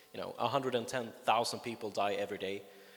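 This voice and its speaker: Talking at a very fast pace, a man speaks with a Swedish accent. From Sweden. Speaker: longevity advocate. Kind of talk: conference talk. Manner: hesitant, many fillers.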